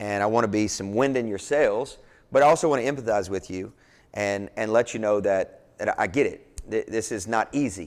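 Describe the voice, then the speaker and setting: A man with a Kentucky accent speaks at a moderate pace and fairly low pitch. His pitch varies in an ordinary way, and the recording is very clean with a silent background. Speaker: pastor and entrepreneur speaker. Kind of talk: motivational talk. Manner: animated; halting.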